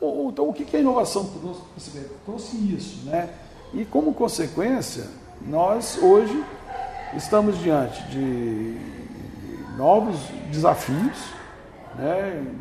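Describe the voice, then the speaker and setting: A man speaks very slowly in a high voice with very wide pitch swings and long, frequent pauses. Audible room echo and noticeable background noise fill the recording. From Brazil, northern Espírito Santo. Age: 50s. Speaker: business owner. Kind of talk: interview.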